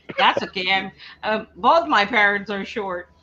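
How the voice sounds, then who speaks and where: With noticeable noise in the background, a woman delivers her words fairly slowly. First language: not English. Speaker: live stream co-host reading chat. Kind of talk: casual chat.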